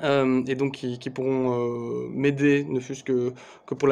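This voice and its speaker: In a monotone with flat intonation, a man speaks at a fairly high pitch. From Belgium. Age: 30s. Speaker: sports federation communications officer. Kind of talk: video announcement. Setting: office. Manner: hesitant, many fillers. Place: home room. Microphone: phone near.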